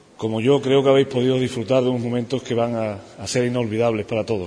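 Over noticeable background noise, a man speaks at a fairly quick pace with a medium pitch and fairly even intonation. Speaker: religious brotherhood leader. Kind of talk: interview and formal speech. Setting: parish church.

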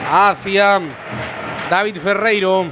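A man's raised, projected voice at a high pitch, with noticeable background noise. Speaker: radio football commentator. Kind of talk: live football commentary. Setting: stadium press box, radio broadcast. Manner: fast, rapid-fire play-by-play; animated, excited.

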